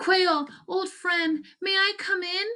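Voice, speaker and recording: Using a squeaky, put-on character voice, a woman talks at an extremely high pitch with fairly even intonation. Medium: read story. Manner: polite, hopeful.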